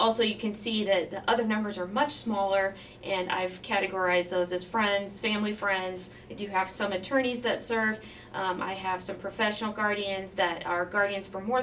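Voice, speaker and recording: A woman at a medium pitch, fairly quick and fairly even in intonation, over noticeable background noise. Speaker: county judge. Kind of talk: presentation talk. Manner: fast.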